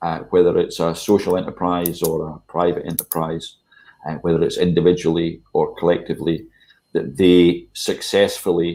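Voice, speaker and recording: The speaker is a man with a Scottish accent. He talks at a moderate pace. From Scotland. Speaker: charity chief executive. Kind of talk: online panel discussion. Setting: video call. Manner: hesitant, many fillers.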